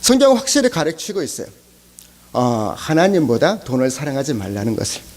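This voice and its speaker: With noticeable background noise behind him, a man speaks at a moderate pace, his pitch swinging very widely. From South Korea, Chungcheong (Cheongju). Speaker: pastor. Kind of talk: sermon. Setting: church service. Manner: halting, many fillers.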